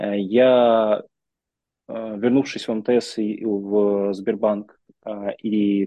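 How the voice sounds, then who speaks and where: A man with an ordinary speaking voice, fairly low in pitch. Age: 30s. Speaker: business executive and mentor. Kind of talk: interview.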